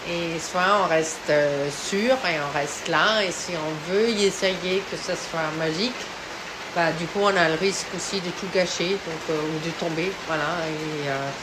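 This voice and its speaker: Noticeable background noise and audible room echo surround this recording. A woman with a fairly low pitch speaks at a very slow pace. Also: ordinary pitch variation. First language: not French (speaking French). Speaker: painter. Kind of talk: artist statement. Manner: halting, many hesitations.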